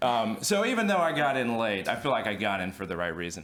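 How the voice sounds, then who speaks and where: A man's voice at a moderate pace, with audible room echo. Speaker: music attorney. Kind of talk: panel discussion. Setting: stage with audience. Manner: hesitant, many fillers.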